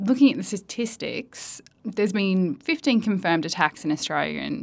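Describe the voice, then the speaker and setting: Vocal fry runs through this woman's medium-pitched voice, which has very wide pitch swings at a moderate pace. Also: very clean recording, silent background. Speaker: podcast host. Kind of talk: interview.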